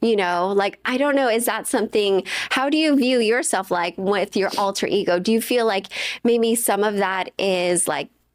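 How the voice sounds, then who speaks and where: On a very clean recording with a silent background, a woman speaks at a moderate pace with ordinary pitch variation and very even loudness. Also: medium pitch for a woman. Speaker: podcast host, comedian. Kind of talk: casual chat. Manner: loud, boisterous on camera.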